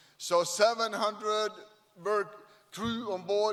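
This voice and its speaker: High male speech with fairly even intonation and noticeable noise behind it. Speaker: shipyard CEO. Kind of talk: ceremony speech. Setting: stage at event with audience.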